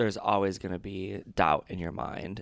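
With a normal speaking voice, a man in an American accent talks at a fairly slow pace and a fairly low pitch. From Michigan, Detroit area. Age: 20s. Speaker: former broadcast journalism student. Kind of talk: casual chat. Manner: laughs a lot.

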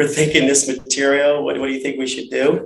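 A man with a fairly high-pitched voice and an American accent is heard with audible room echo. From Cleveland, Ohio. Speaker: business development director, military veteran. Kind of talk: interview.

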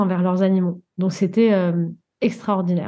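A woman's somewhat breathy, dark, mellow voice at a moderate pace against a quiet background. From Guadeloupe. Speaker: coach and animal communicator. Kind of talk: interview.

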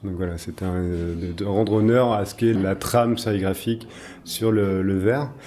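Speaking at a fairly slow pace, a man has fairly low pitch and fairly even intonation. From Brittany, France. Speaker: artist and designer. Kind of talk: interview. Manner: hesitant, many fillers.

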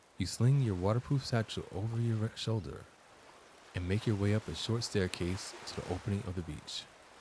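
A man's fairly low voice comes out somewhat breathy. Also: ordinary pitch variation. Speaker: guided meditation guide and therapist. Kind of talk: guided meditation, calm scripted visualization with counting. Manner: slow, soft, soothing, measured with long pauses.

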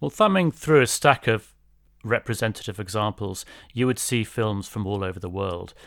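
A man speaks at a fairly low pitch with a British accent. The recording is very clean, with a silent background. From England. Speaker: English professor. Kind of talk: interview.

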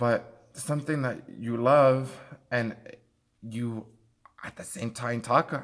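With a Spanish accent, a man speaks at medium pitch on a very clean recording with a silent background. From Mexico. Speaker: podcast co-host. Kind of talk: casual chat. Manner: halting.

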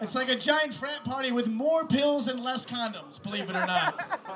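The voice is raised and projected, with lively intonation at a moderate pace. Noticeable background noise runs underneath. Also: man. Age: young. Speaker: comedian. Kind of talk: stand-up.

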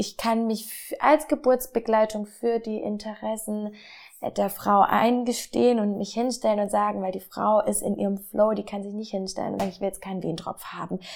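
In an unremarkable speaking voice, a woman of medium pitch speaks at a moderate pace with fairly even intonation. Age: 20s. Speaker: midwife. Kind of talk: interview. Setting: on location in a birth center.

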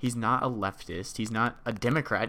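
The recording is very clean, its background silent. A man talks in an American accent with a bright, sharp tone. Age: 20s. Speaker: podcast co-host. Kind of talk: casual chat.

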